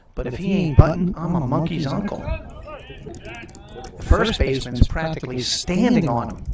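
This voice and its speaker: Over noticeable background noise, a man talks at a moderate pace with a fairly high pitch and lively intonation. His loudness swings a lot, and his pauses are long and frequent. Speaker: high school baseball livestream announcer. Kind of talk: live commentary. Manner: animated.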